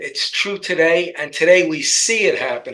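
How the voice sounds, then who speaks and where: This man has a New York accent. He speaks at a fairly slow pace. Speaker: political commentator. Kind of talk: political talk show discussion.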